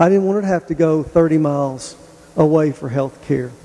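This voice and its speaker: A man with a Tennessee accent talks at a fairly quick pace and fairly high pitch. His intonation is fairly even, with noticeable background noise. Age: 50s. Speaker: hospital executive. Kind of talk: public presentation.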